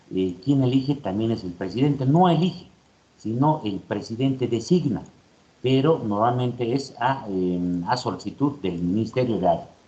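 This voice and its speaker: A man speaks with a dark, mellow tone. There is audible echo from the room. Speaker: university lecturer. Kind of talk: lecture. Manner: fast.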